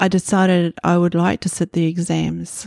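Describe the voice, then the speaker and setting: Speaking in a New Zealand accent, a woman with a fairly low pitch and a dark, mellow tone talks at a fairly slow pace, recorded very cleanly against a silent background with a dry, close sound and no echo. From New Zealand, Northland (Hokianga). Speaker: quilt pattern designer. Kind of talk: interview.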